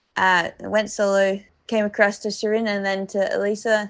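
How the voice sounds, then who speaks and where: A woman speaks at a medium pitch in an Australian accent. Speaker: professional cyclist. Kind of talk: audio diary. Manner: mumbling.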